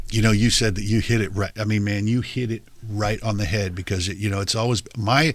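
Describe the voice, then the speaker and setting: Here a man talks at a fairly quick pace. His pitch sits fairly low. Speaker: podcast host. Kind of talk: interview conversation. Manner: loud; animated.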